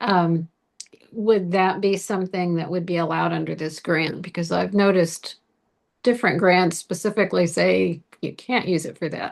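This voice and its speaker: A woman with vocal fry speaks at a moderate pace. Her pitch is fairly low and her intonation fairly even. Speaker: community volunteer. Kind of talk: casual video call Q&A.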